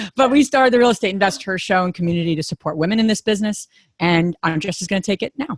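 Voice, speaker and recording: A woman speaks at a very fast pace with a New Jersey accent and lively intonation. The sound is dry and close, with no echo. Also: medium pitch for a woman. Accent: New Jersey American. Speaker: real estate investor and podcast host. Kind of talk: conference talk.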